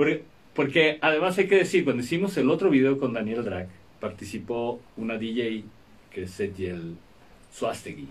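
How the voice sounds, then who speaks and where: A man's voice at a moderate pace with very wide pitch swings. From Mexico. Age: 60s. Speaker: rock musician. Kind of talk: interview. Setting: radio studio. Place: studio. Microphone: studio mic.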